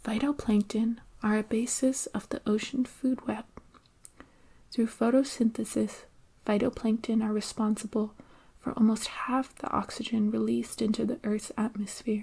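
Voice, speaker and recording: The voice is soft-spoken, with a calm tone and a moderate pace. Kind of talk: ASMR science explanation, soft-spoken educational narration. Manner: soft-spoken, calm, relaxing.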